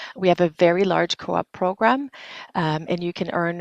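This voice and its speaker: This woman's voice sits fairly low, with ordinary pitch variation. The sound is dry and close with no echo, over a quiet background. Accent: French. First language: French. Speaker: university international recruitment director. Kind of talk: webinar presentation. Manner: hesitant, many fillers.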